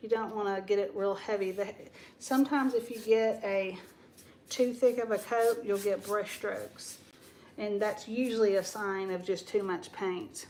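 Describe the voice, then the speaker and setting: An American accent marks this woman's medium-pitched voice. She keeps a moderate pace and fairly even intonation. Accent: Southern US (others say she has one). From Texas. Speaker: DIY paint channel host. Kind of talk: live stream casual chat and painting demo. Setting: home live stream on camera. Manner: chatty, informal.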